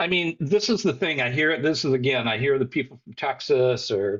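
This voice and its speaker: Here is a man with an ordinary speaking voice, pitched fairly high. He talks at a moderate pace with lively intonation. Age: 60s. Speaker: soccer fan and commentator. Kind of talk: casual chat.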